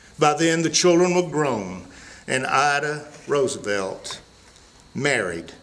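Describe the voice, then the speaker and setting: With a Southern accent, a man speaks at a very slow pace with a fairly high pitch and lively intonation, leaving long, frequent pauses amid noticeable background noise and audible room echo. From US South, Mississippi. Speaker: storyteller. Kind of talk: storytelling.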